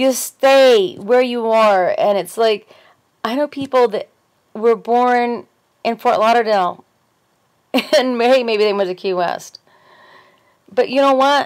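A woman with a fairly high voice talks at a fairly slow pace, with long, frequent pauses, ordinary pitch variation and a quiet background. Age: 40s. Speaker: video blogger with fibromyalgia. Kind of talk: casual monologue vlog. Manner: animated. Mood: earnest, opinionated. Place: home room. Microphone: webcam.

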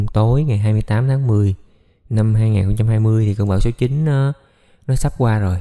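A man speaks very slowly at a fairly low pitch. His tone is dark and mellow, with fairly even intonation. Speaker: plastic surgeon. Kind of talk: explanatory talk to camera about a surgery case. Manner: casual, explanatory.

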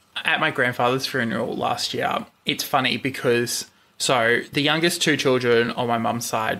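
A loud voice with a bright, sharp tone speaks at a moderate pace in an Australian accent. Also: man. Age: 20s. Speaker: podcast host, guest. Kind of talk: casual chat. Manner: loud laugh.

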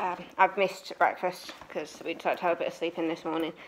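A woman rattles along at a very fast pace while noticeable background noise carries on behind her. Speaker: holiday vlogger. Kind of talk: casual vlog chat. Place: home room. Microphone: phone near.

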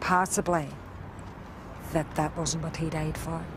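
Over noticeable background noise, a woman with a Northern Irish accent speaks fairly slowly in a fairly low, flat monotone. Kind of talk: interview recollection.

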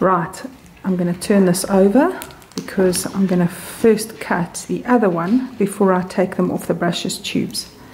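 A woman's calm, medium-pitched voice with fairly even intonation, over noticeable background noise. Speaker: sewing machine repairer. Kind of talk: repair tutorial narration. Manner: calm, careful, detailed.

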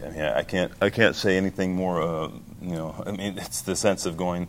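With fairly even intonation, a man talks over light background noise. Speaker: opera singer, bass baritone. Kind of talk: interview answer. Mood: warm, reflective. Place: hall. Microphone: handheld.

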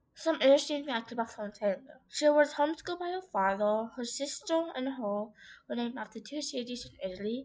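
Over a quiet background, a woman speaks at a fairly quick pace with a high pitch and lively intonation. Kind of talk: informal school-style presentation narration. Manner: hesitant, casual.

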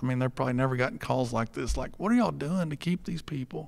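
On a very clean recording with a silent background, a man with an American accent speaks at a medium pitch. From Texas. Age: 50s. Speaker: pool company owner. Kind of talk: live podcast interview. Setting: stage with audience.

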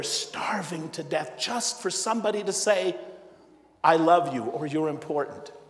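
Audible room echo surrounds a man speaking in a high pitch. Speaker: priest giving homily. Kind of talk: sermon; in the tearful stretch, a hushed, solemn retelling of a father's grief. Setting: church. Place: church. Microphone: lapel.

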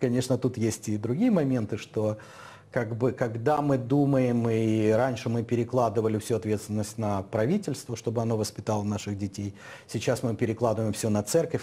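A man's somewhat breathy voice at a moderate pace, with ordinary pitch variation. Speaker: talk show host. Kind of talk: studio discussion. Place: studio. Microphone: lapel.

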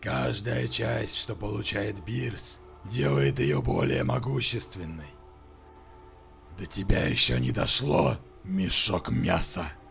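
A man's raspy, put-on character voice at a very deep, low pitch and fairly slow pace, over clear background noise. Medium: dub. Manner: threatening, mocking.

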